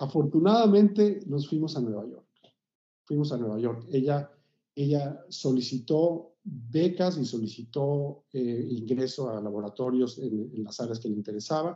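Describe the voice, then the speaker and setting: A man with a normal speaking voice talks at a moderate pace. His pitch is fairly high, with lively intonation. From Mexico City. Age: 60s. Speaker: composer. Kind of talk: interview.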